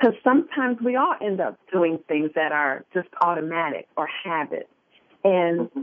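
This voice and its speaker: Using an unremarkable speaking voice, a woman with an American accent talks at a moderate pace in a medium pitch. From US Midwest, Detroit. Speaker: life coach and motivational speaker. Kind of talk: interview.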